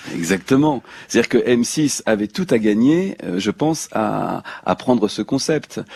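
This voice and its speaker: Lively in intonation, a man with an unremarkable speaking voice and a medium pitch talks at a fairly slow pace, with a dry, close sound and no echo. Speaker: voice actor. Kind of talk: radio interview answer. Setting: radio studio.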